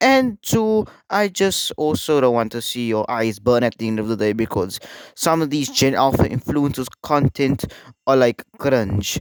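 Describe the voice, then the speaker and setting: A medium-pitched man with a South African accent, at a fairly slow pace, with very wide pitch swings. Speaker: YouTuber, internet commentator. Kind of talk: casual commentary video. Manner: halting, many fillers.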